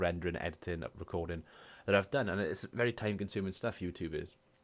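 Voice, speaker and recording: A man with a Welsh accent speaks at a fairly quick pace in a very deep, low pitch. The recording is very clean, with a silent background. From Wales. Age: 20s. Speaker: gaming YouTuber and streamer. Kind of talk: casual talk to camera.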